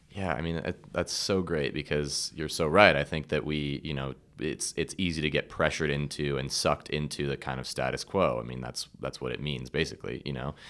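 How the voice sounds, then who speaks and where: On a very clean recording with a silent background, a man with a very deep, low pitch and vocal fry speaks fairly quickly with fairly even intonation. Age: young. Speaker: podcast host. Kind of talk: casual interview chat.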